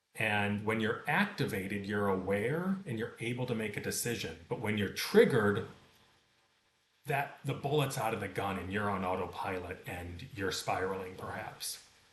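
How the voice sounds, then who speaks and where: Fairly low male voice with ordinary pitch variation, a moderate pace, and audible echo from the room. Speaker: meditation teacher. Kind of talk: tutorial.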